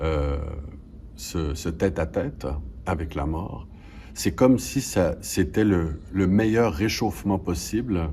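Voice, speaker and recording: Very slow, with long, frequent pauses, a man's very deep, low pitch and dark, mellow tone, vocal fry and very wide pitch swings. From Quebec, Canada. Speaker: stage actor. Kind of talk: interview answer.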